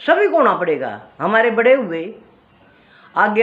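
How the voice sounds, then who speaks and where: A woman with a Haryanvi accent speaks at a fairly high pitch with very wide pitch swings. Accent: Haryanvi-accented Hindi. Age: 60s. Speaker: cultural storyteller, video creator. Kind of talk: casual talk on culture and memories.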